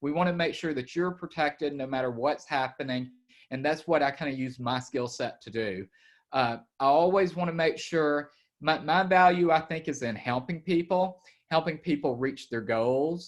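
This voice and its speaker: At a moderate pace, a speaker with an Alabama accent shows ordinary pitch variation over a quiet background. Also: man, fairly high pitch for a man. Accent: Southern US (Alabama). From Alabama, US South. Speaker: estate planning attorney. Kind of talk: webinar presentation. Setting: video call.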